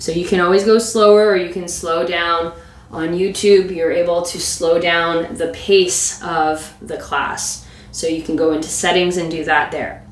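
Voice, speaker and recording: Against noticeable background noise and audible room echo, a woman with a fairly low voice speaks at a fairly slow pace with ordinary pitch variation. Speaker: yoga and mobility instructor. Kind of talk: guided exercise class. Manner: instructive, rhythmic cueing.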